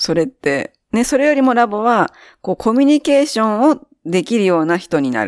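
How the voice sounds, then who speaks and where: A woman's fairly high voice with very wide pitch swings, dry and close with no echo, on a very clean recording with a silent background. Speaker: podcast guest, former student group leader. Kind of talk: casual chat.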